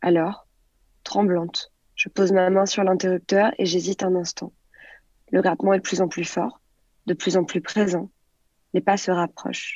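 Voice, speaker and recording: With monotone, flat intonation, a woman at medium pitch talks at a fairly slow pace, leaving long, frequent pauses. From France, near Grenoble. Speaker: storyteller. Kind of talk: storytelling; casual chat.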